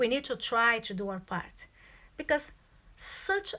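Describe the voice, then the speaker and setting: In a very clean recording with a silent background, a woman with a Brazilian accent speaks in a fairly high, bright, sharp tone with lively intonation. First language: Portuguese. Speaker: student. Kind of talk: presentation.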